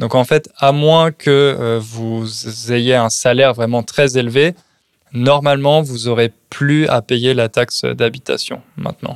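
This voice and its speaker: Speaking at a very slow pace, a man keeps a medium pitch and fairly even intonation. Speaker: podcast host teaching French. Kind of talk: casual chat. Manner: clear, adapted for learners.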